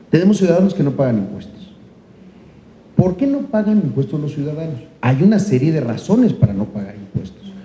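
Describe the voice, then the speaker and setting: A man's fairly high voice with very wide pitch swings, a fairly quick pace, and noticeable background noise. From Mexico, Chiapas. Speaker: senator. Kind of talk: panel discussion. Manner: halting, many fillers.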